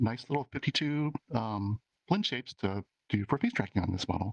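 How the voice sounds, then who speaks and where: A soft-spoken man, recorded with a dry, close sound and no echo. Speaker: VR avatar creator. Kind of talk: community meetup presentation. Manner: halting, many fillers.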